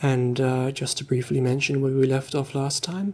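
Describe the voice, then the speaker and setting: Soft-spoken and calm, a man talks at a moderate pace. His tone is dark and mellow. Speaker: ASMR storyteller. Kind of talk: casual talk to listener. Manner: soft-spoken, calm. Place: home room.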